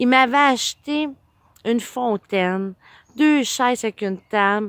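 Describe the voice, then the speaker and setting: Recorded very cleanly against a silent background, a woman's voice has a dry, close sound with no echo and ordinary pitch variation. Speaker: vlogger. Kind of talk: casual personal storytelling vlog.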